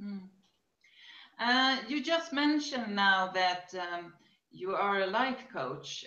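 In a room with audible echo, a woman speaks very slowly in a bright, sharp tone, her pitch swinging very widely between long, frequent pauses. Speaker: interviewer. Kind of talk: interview questions. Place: home room. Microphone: webcam.

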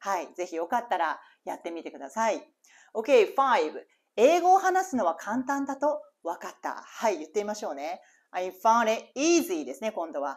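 A woman talks with a fairly high pitch, very wide pitch swings and vocal fry. Her loudness swings widely. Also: moderate pace, quiet background. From Japan. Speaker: English teacher. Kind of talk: reading aloud; tutorial. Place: home room. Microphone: lapel.

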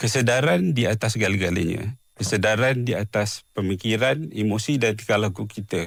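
On a very clean recording with a silent background, a man speaks at a moderate pace in a fairly low pitch, with ordinary pitch variation and hardly any pauses. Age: 40s. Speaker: mental health advocate, schizophrenia survivor. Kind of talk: radio interview. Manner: halting, many fillers.

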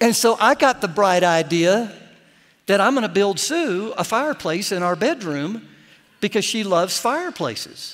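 A man with a high pitch speaks at a moderate pace with lively intonation. The background is quiet. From Florida. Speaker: pastor. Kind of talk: sermon. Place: church.

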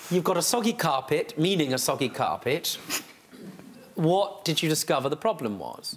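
Pausing long and often, a man speaks at a moderate pace in a high pitch with lively intonation over light background noise. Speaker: TV judge. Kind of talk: courtroom TV show questioning. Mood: wry, exasperated, playful. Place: studio.

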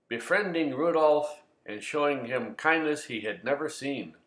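A man talks at a moderate pace in a fairly high voice, with audible room echo. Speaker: voice actor. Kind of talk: mock-serious educational presentation.

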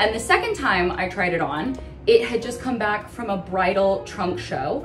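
A woman is speaking. Clear music plays in the background. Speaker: vlogger. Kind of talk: casual vlog chat. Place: bathroom.

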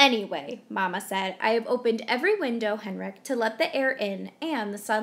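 Ordinary pitch variation during plain reading aloud

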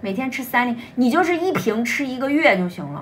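A woman's speech runs at a fairly quick pace amid noticeable background noise. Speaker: livestream seller. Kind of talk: live-stream sales pitch. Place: home room. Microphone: phone near.

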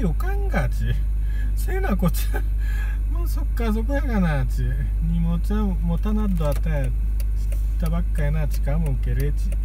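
The speech comes at a moderate pace with a Kagoshima accent. The sound is dry with no echo, and background noise is noticeable. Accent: Kagoshima dialect of Japanese. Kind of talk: casual talk to camera. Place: car. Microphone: phone near.

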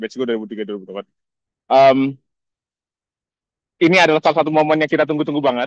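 With a fairly high pitch, ordinary pitch variation and big swings in loudness, a man talks at a very fast pace broken by long, frequent pauses, in a dry, close sound with no echo. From Indonesia. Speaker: scholarship alumnus. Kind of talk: casual greeting message. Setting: outdoors video call. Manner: animated.

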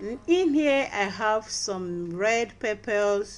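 Light background noise sits behind a woman who speaks at a very slow pace. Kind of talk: tutorial. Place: kitchen. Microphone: phone near.

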